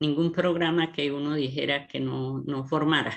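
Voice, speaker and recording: A woman speaks at a moderate pace in a very deep, low voice. Her intonation is flat and monotone. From Colombia, rural Norte de Santander (Cáchira). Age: 60s. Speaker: writer and educator. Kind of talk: radio interview. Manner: halting, with many repetitions.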